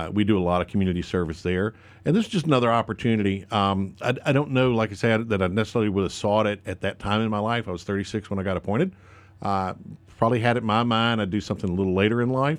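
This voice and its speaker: A man's very fast speech with a North Carolina accent, fairly low in pitch with ordinary variation, on a very clean recording with a silent background. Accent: US Southern (North Carolina). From North Carolina, Lincoln County. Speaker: state politician. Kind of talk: radio interview. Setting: radio studio.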